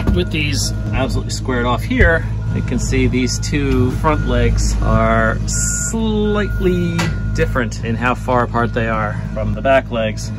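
Clear music sits in the background as a man speaks at a fairly slow pace. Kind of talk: tutorial. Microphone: phone near.

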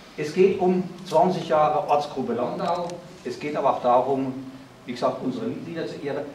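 A man speaks at a moderate pace with ordinary pitch variation, with audible room echo and light background noise. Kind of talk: welcome speech. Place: hall. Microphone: camera far.

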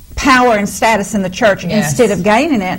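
Noticeable background noise is heard beneath a woman's speech. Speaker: minister. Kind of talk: sermon conversation.

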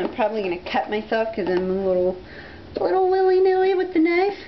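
Very wide pitch swings mark this voice, which is heard against noticeable background noise. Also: woman. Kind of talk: casual talk to camera. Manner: excited, upbeat.

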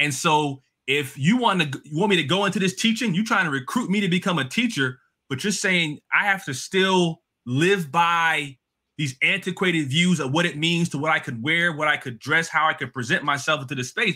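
A man with a New Jersey accent speaks in a high, bright, sharp voice with an animated tone and ordinary pitch variation against a quiet background. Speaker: education policy expert, adjunct professor. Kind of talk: interview. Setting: video call. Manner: fast talker. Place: home room.

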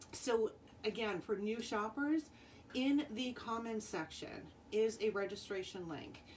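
Over light background noise, a woman speaks at a fairly slow pace with lively intonation. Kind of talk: live sales stream talk. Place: home room. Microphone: phone near.

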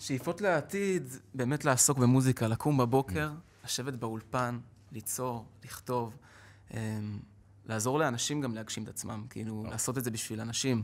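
A medium-pitched man at a moderate pace, with ordinary pitch variation and long, frequent pauses. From Israel. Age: 20s. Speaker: street musician and singer; guest. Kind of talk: interview. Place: studio. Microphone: podium.

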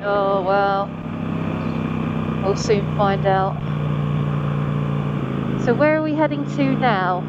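Over loud background noise, a woman speaks with ordinary pitch variation. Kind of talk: casual vlog chat. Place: motorbike. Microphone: helmet.

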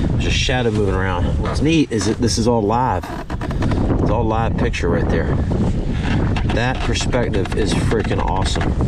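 Over loud background noise, a man talks at a moderate pace with ordinary pitch variation and long, frequent pauses, the sound dry with no echo. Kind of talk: casual vlog commentary. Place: boat. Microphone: phone near.

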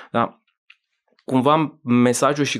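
Quiet surroundings behind a male speaker. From Romania, Bucharest. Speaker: business magazine editor; podcast guest. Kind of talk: casual interview. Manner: halting, many fillers. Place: studio. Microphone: studio mic.

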